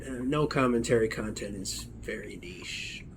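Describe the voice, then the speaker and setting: A man mumbling at a fairly slow pace. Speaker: gaming commentator. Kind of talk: casual gameplay commentary. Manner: mumbling, relaxed.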